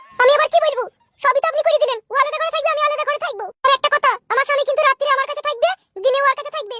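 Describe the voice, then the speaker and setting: A woman does a squeaky, cartoonish character voice at an extremely high pitch. She talks very fast with ordinary pitch variation. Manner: combative, shrill.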